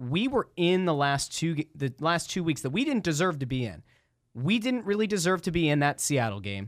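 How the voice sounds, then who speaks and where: On a very clean recording with a silent background, a man with an American accent talks at a fairly quick pace. His fairly high pitch swings very widely. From Schuylkill County, Pennsylvania. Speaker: sports radio host. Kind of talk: casual chat. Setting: studio.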